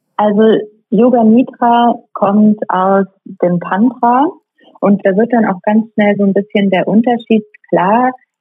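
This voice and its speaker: Very slow in pace, a woman speaks at a fairly high pitch with fairly even intonation. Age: 40s. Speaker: yoga teacher. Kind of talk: interview.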